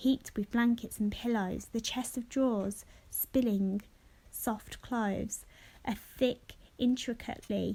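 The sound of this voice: What you hear is an unforced reading voice.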